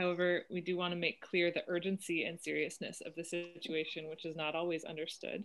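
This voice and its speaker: A woman with a fairly low pitch and an American accent talks at a fairly quick pace. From US West Coast, Oakland. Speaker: climate activist volunteer. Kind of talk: panel presentation.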